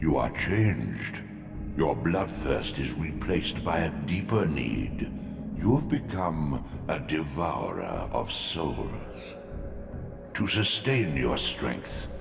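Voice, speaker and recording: A man puts on a character voice with a very deep, low pitch, moving at a very slow pace with long, frequent pauses. Clear echo and loud background noise surround him. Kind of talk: portentous mythic pronouncement. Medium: video game. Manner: imperious, oracular.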